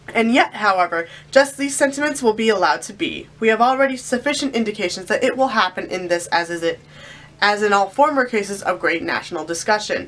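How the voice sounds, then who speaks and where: A woman talks at a very fast pace with lively intonation. Noticeable background noise runs behind her. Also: fairly high pitch for a woman. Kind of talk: read-aloud of historical document.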